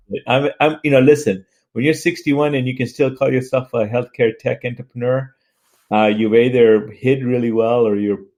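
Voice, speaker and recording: A man talks at a moderate pace in a medium pitch with ordinary pitch variation. He has an unremarkable speaking voice. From US South (Atlanta), born in Tanzania. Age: 60s. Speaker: healthcare tech entrepreneur. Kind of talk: interview conversation.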